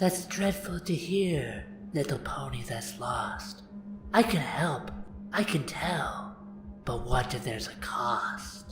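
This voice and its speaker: Someone whispers in a put-on character voice at a fairly slow pace. Background noise is clearly heard. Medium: read story. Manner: teasing, speaks in rhyme.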